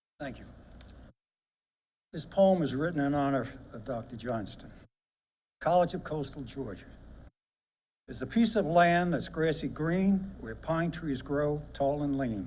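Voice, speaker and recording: With an American accent, a man speaks at a fairly slow pace and fairly high pitch, with lively intonation, big swings in loudness, long, frequent pauses and audible room echo. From Brooklyn, New York. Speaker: war veteran and poet. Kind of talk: reading aloud a poem. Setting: ceremony with audience.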